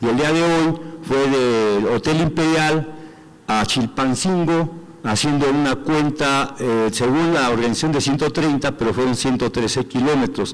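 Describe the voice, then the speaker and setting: Noticeable background noise runs behind a man with a fairly high pitch and ordinary pitch variation. He speaks at a fairly slow pace with very even loudness. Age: 60s. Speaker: athlete and movement representative. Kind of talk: assembly report.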